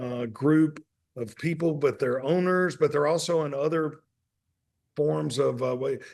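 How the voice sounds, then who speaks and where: With a Southern US accent, a man speaks at a fairly slow pace in a fairly high pitch, keeping his intonation fairly even. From Mississippi (Hattiesburg). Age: 60s. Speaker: restaurant owner and author. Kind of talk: podcast interview.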